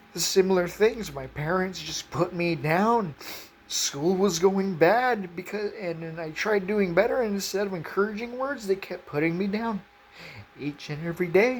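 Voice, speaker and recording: Over noticeable background noise, a woman speaks at a moderate pace and medium pitch. Her pitch variation is ordinary, but her loudness swings widely. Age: 20s. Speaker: faith video creator. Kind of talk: emotional personal testimony. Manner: halting, repeated words.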